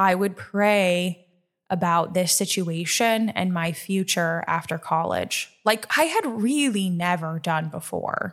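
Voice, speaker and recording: A woman's unremarkable speaking voice with an American accent, medium pitch, and fairly even intonation, in a very clean recording with a silent background. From Nebraska. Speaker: podcast host. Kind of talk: personal testimony.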